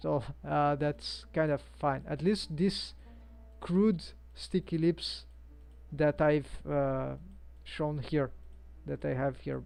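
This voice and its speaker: A woman with a Brazilian accent talks very slowly, leaving long, frequent pauses. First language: Portuguese. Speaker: 3D animator and live streamer. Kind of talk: live-stream tutorial. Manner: halting, many fillers. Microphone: headset built-in microphone.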